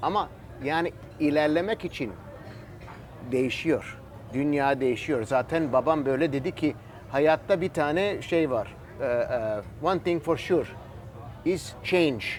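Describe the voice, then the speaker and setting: A man with a fairly high pitch talks at a very slow pace. He leaves long, frequent pauses, and his pitch varies in an ordinary way. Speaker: cigar maker. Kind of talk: casual interview chat. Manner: halting, searching for words.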